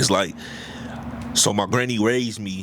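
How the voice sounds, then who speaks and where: A man with a fairly low pitch speaks at a moderate pace over noticeable background noise. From South Central Los Angeles. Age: 40s. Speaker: podcast co-host. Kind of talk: casual interview conversation. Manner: halting, with many fillers and repeats.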